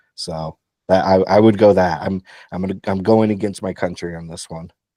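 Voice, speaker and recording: In a very deep, low voice with a dark, mellow tone, a man speaks at a moderate pace in a monotone, flat delivery, his loudness swinging widely against a quiet background. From United States. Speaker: podcast co-host. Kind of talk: casual chat.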